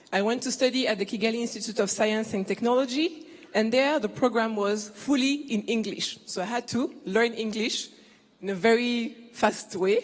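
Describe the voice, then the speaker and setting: Over noticeable background noise, a woman with a French accent speaks at a moderate pace in a fairly high pitch with ordinary pitch variation. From Ivory Coast. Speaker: business executive. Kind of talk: keynote speech.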